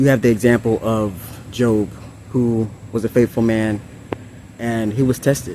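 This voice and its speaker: Speaking at a moderate pace with long, frequent pauses, a man at medium pitch keeps a fairly even intonation against noticeable background noise. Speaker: ASMR and spiritual content creator. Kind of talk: spiritual message reading to camera. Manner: casual, conversational.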